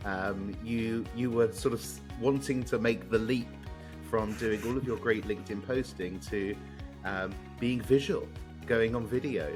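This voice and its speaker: A man speaks with a fairly low pitch and lively intonation. Music plays in the background. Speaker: podcast host. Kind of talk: interview questions.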